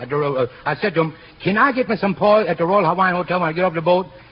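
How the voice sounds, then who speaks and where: A man with an American accent, high in pitch, at a very fast pace over noticeable background noise. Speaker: veteran singer and entertainer guest. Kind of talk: radio comedy routine with banter. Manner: boastful, comically mock-humble, lively storytelling.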